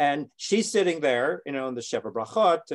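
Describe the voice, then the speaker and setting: A man speaks at a moderate pace with a Canadian accent, his pitch fairly high and his intonation lively. It is a plain, everyday voice, and the sound is dry and close with no echo. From Canada. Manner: storytelling, repeats words while searching for them.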